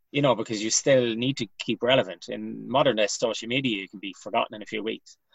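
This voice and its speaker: Talking at a very fast pace with hardly any pauses, a man with a western Irish accent uses a medium pitch, vocal fry, fairly even intonation and big swings in loudness. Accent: Irish (west of Ireland). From Ireland, Galway. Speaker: comedian. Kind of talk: casual chat.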